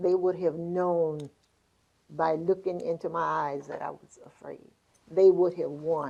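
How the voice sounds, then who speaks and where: A woman with a Southern US accent, fairly low in pitch, with fairly even intonation and big swings in loudness at a fairly slow pace. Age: 80s+. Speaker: podcast host. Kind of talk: casual interview chat.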